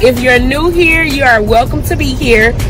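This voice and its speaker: Against clear music in the background, a woman speaks in a dry sound with no echo. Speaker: food vlogger. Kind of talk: casual vlog chat.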